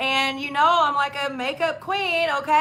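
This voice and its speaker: A woman's high, raised and projected voice at a moderate pace, over noticeable background noise. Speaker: registered dietitian and network marketer. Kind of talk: live stream interview. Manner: animated.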